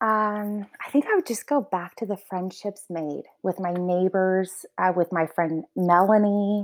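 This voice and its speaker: A woman with a plain, everyday voice at a medium pitch speaks fairly slowly with hardly any pauses, in a dry, close sound with no echo. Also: ordinary pitch variation, very clean recording, silent background. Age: 30s. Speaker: house manager. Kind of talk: casual interview.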